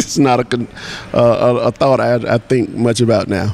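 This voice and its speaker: With noticeable background noise behind the voice, the speaker uses an American accent and keeps a moderate pace. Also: man. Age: 60s. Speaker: artist. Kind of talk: interview. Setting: conference in Brazil. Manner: halting, many fillers.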